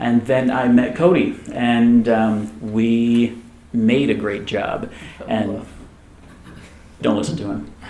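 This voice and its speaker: In a room with audible echo, a man with an American accent talks at a very slow pace, leaving long, frequent pauses. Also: medium pitch for a man, ordinary pitch variation. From military family, Germany and US East Coast. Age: 30s. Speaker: tech company co-founder. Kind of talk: fireside chat interview.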